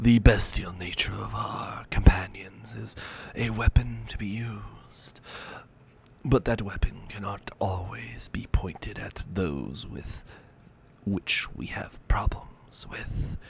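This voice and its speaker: Whispering at a fairly slow pace, a man uses a put-on character voice. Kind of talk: old-world aristocratic speech. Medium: actual play. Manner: formal, courtly, measured.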